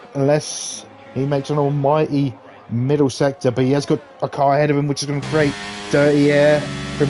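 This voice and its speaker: Noticeable background noise runs under the voice. The speech moves at a very fast pace. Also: man. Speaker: sim racing streamer and commentator. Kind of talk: live commentary. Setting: live stream. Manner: animated.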